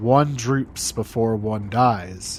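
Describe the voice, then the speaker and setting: A man puts on a character voice, quiet and at a medium pitch, over clear background noise. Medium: read story. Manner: quiet, ominous.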